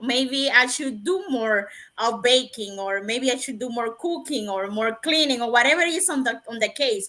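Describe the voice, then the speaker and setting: Speaking with a non-native accent, a woman delivers lively intonation in a high, bright, sharp voice at a moderate pace with hardly any pauses. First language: not English. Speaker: nurse and webinar panelist. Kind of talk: casual panel discussion.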